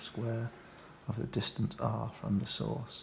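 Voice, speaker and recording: The speaker is soft-spoken. The pace is fairly slow. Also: man. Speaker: ASMR reader of technical books. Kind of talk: ASMR book reading, relaxing and informative.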